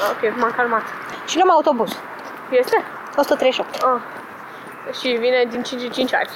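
With noticeable background noise behind her, a woman speaks at a high pitch and a fairly slow pace. Her pitch varies ordinarily, and she takes long, frequent pauses. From Romania, Petroșani. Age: 20s. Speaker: student. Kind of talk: casual chat.

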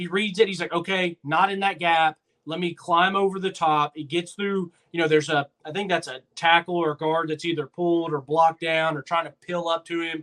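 This man's voice sits high in pitch. His intonation is monotone and flat. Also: fairly quick pace. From Nashville, Tennessee. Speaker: sports podcast co-host. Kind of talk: casual chat.

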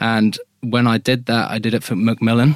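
Recorded very cleanly against a silent background, a man with a British accent speaks at a fairly low pitch. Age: 20s. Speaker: charity endurance runner. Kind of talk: interview.

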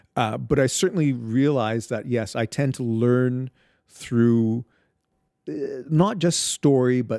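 Recorded dry and close with no echo, a man speaks at a medium pitch with ordinary pitch variation. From Barbados, then Ottawa from age thirteen. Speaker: storyteller. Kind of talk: interview. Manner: animated.

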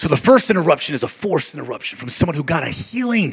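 A man talks with noticeable vocal fry. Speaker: pastor. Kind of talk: sermon. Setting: church; stage with audience. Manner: repetitive, rhythmic, exhorting.

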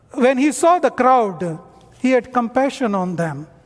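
A man speaks at an extremely high pitch. His pitch variation is ordinary. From North India. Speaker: missionary. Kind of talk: sermon.

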